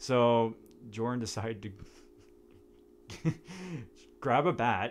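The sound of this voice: A man speaks at a medium pitch with lively intonation. His pace is very slow.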